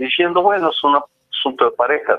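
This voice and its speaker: Using ordinary pitch variation, a man speaks with a high-pitched voice. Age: 60s. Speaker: professor and author. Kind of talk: interview.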